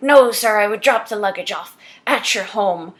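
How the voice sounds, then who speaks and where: A woman speaks in a put-on character voice, growling at a fairly high pitch. Her pace is moderate and her intonation fairly even, while her loudness swings widely. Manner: formal, attempted accent.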